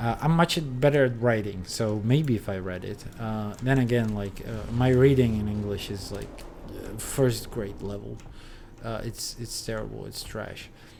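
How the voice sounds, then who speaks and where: Big swings in loudness mark this fairly slow delivery with ordinary pitch variation, audible room echo and noticeable background noise. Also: man, medium pitch for a man. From Czech Republic. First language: Czech. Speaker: video game streamer. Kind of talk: casual gaming livestream chat. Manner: halting, many fillers.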